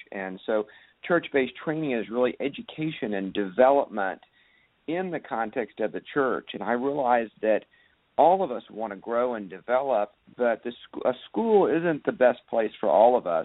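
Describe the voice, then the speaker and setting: A man with an American accent has an unremarkable speaking voice at a medium pitch. He keeps a moderate pace with lively intonation. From Texas (Dallas). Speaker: pastor and author. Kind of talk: radio interview.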